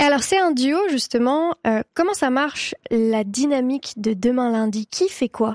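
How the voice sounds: A woman speaks at a moderate pace with a high pitch, ordinary pitch variation and a slightly mellow tone, in a dry, close sound with no echo.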